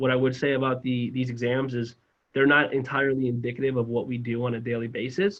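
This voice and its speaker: A man's very fast speech at medium pitch, with fairly even intonation and an American accent. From South Florida. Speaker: financial advisor recruiter. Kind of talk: employer information session presentation.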